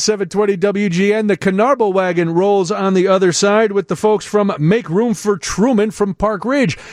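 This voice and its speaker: Speaking at a fairly slow pace, a man with an American accent has a high pitch. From US Midwest. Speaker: radio host. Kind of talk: casual chat. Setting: studio. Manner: animated.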